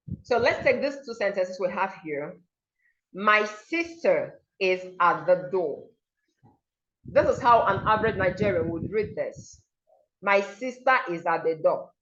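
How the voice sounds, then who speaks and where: Speaking at medium pitch with lively intonation, a woman goes at a fairly slow pace with long, frequent pauses amid audible room echo. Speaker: diction and pronunciation coach. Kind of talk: online seminar lecture. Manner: animated, demonstrative pronunciation examples.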